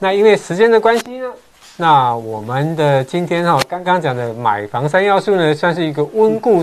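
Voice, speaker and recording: Pitched high and swinging very widely, a man's voice keeps a moderate pace while noticeable background noise goes on. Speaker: real estate agent, show host. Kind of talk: casual chat. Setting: livestream.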